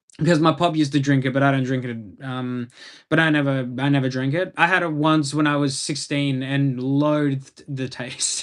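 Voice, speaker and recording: A strong Australian accent, a moderate pace and monotone, flat intonation. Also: man, fairly high pitch for a man. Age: 20s. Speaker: live streamer. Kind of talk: casual chat. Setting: live stream. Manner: halting.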